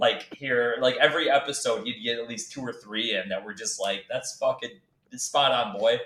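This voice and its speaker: At a moderate pace, a man with a New York accent speaks with big swings in loudness. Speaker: Marine veteran, former podcast co-host. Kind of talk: casual chat. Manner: loud, talks over others.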